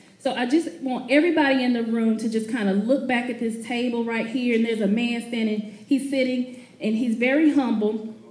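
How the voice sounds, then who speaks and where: A woman at a high pitch and a fairly quick pace, against noticeable background noise. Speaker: motivational speaker. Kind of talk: live speech to an audience. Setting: event hall, live audience. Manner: humorous, upbeat.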